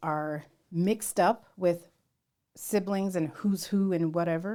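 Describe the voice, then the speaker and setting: A woman with an unremarkable speaking voice and an American accent speaks fairly slowly at a medium pitch, her intonation fairly even. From US West Coast, San Jose area. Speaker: podcast co-host. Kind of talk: casual chat.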